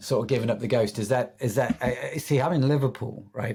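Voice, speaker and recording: A man races through his words at a very fast pace, his medium pitch varying in an ordinary way. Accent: English. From England. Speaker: podcast host. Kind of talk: podcast interview.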